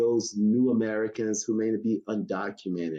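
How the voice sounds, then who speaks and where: The background stays quiet. A man talks in a dark, mellow tone. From US South, North Carolina Sandhills. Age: 60s. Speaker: Navy veteran and street vending advocate. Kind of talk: podcast interview.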